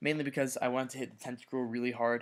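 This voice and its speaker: A man speaks quietly at medium pitch. His pace is very fast. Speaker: gamer. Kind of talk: casual gaming commentary.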